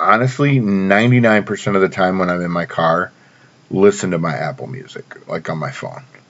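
Noticeable background noise accompanies a man speaking at a fairly low pitch and a fairly slow pace. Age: 40s. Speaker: podcast host. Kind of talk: solo casual monologue. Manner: filler-heavy, conversational.

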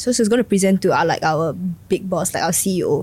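A woman's somewhat breathy voice in a Singaporean accent at a fairly quick pace, on a very clean recording with a silent background. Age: 20s. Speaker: non-profit worker. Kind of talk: casual chat.

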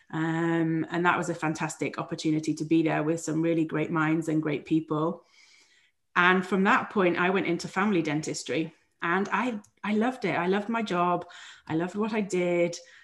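A woman with a British accent, fairly low pitch, fairly even intonation and a moderate pace. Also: quiet background. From England. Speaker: dentist turned physician coach. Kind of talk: interview.

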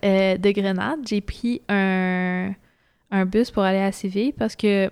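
A woman speaks with a Quebec accent. Her loudness stays very even throughout. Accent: Québécois French. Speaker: traveller. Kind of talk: casual interview.

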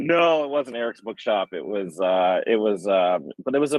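With an American accent, a man in an ordinary speaking voice talks at a fairly slow pace, his medium pitch carrying lively intonation. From Michigan, US. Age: middle-aged. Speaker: healer and yoga therapist. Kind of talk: interview.

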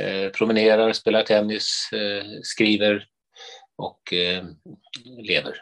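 The speech moves very slowly, broken by long, frequent pauses. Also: man. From Sweden, Stockholm from age eight. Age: 60s. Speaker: priest and author. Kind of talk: interview conversation.

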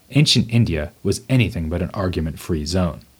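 A man with an American accent uses a normal speaking voice at a moderate pace, recorded very cleanly with a silent background. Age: 40s. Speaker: podcast host, philosophy professor. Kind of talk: scripted narration.

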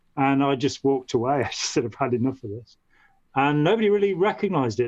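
A man with a Midlands accent at medium pitch, fairly quick pace and lively intonation. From English Midlands, Staffordshire. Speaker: former cult member, writer and artist. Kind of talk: interview.

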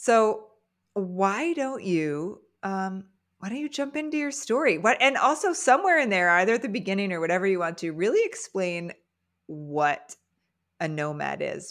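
A woman with very wide pitch swings, in a very clean recording over a silent background. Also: medium pitch for a woman, moderate pace. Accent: American. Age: 40s. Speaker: podcast host. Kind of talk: casual interview.

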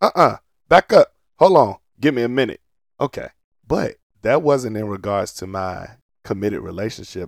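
In a very clean recording with a silent background and a dry, close sound without echo, a man speaks at a moderate pace. His fairly low voice has an animated tone. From US South, Portsmouth, Virginia. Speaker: podcast co-host. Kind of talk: casual chat.

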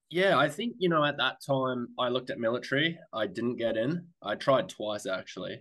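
An Australian accent from a man at medium pitch, bright and sharp in tone, with lively intonation, a moderate pace and hardly any pauses. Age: 30s. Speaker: airline pilot. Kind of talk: casual chat.

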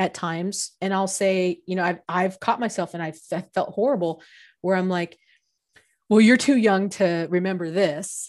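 Over a quiet background, a woman talks at a fairly slow pace with ordinary pitch variation. She has an unremarkable speaking voice at a medium pitch. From San Diego, California. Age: 40s. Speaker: podcast co-host, HR professional. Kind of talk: casual chat.

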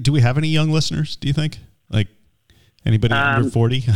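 Very fast and playful, a man talks with a fairly high pitch. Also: ordinary pitch variation. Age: middle-aged. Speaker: podcast co-host. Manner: joking, playful.

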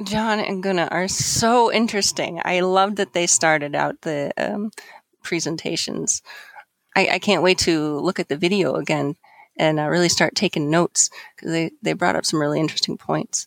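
A woman uses a plain, everyday voice at a fairly low pitch with ordinary pitch variation. The recording is very clean with a silent background, dry and close with no echo. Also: moderate pace. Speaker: conference co-organizer. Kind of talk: casual interview.

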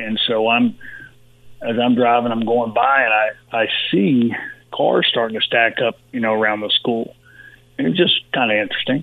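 A man speaks with a Texan accent at a moderate pace. His pitch sits in the medium range. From Texas (Uvalde). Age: 60s. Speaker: former pro football player. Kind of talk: interview. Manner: halting, many fillers.

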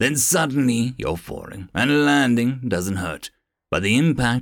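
The background stays quiet. Someone is reading aloud in a natural voice.

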